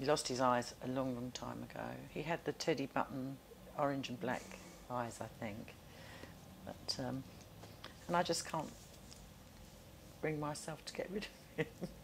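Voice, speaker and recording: With a southern English accent, a woman speaks at a moderate pace in a very deep, low voice with vocal fry, ordinary pitch variation and long, frequent pauses. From South London. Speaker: oral history interviewee. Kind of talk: interview.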